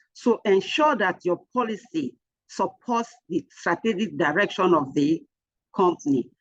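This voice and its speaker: Talking at a fairly slow pace, a woman with an unremarkable speaking voice and a medium pitch is heard in a dry, close sound with no echo. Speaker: HR trainer. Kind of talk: lecture.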